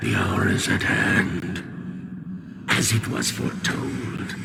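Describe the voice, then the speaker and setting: In a cartoonish character voice, a man talks fairly slowly at a fairly low pitch, with a clear echo and loud background noise. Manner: proud, unhinged and menacing.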